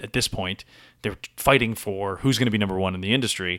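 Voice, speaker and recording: A man with an American accent at a fairly quick pace, on a very clean recording with a silent background. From US Northeast (Boston). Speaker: actor and improviser. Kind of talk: casual chat. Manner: energetic.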